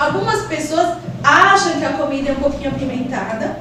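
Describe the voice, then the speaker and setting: With a Spanish accent, a woman speaks at a fairly quick pace with lively intonation, amid noticeable background noise and audible room echo. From Peru, Lima. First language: Spanish (speaking Portuguese). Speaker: school administrator. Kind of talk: podcast interview.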